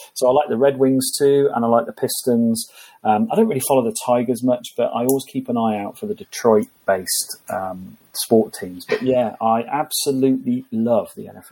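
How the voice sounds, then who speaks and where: With a dark, mellow tone and a medium pitch, a man talks with lively intonation, hardly any pauses and big swings in loudness. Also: moderate pace. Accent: English. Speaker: HR consultant and author. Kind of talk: interview.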